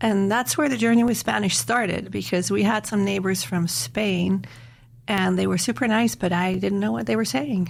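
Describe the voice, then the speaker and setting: Speaking at a moderate pace and a medium pitch, a woman shows vocal fry and very wide pitch swings while her loudness stays very even. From Netherlands and Switzerland. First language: German. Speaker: university Spanish professor. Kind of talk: podcast interview.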